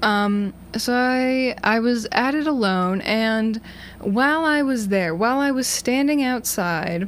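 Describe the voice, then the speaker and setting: Her intonation lively, a woman speaks with an American accent. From Massachusetts. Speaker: college radio DJ. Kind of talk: casual chat. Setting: radio studio. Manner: rambling.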